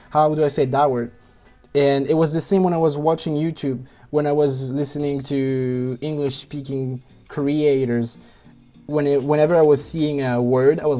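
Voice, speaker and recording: Music plays in the background as a man with a French accent speaks at a fairly high pitch. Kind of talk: personal story.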